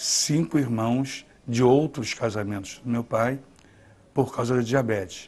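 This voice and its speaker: A man speaks at a very slow pace. His pitch is medium, with ordinary pitch variation. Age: 50s. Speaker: documentary interviewee. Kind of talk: testimony. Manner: halting.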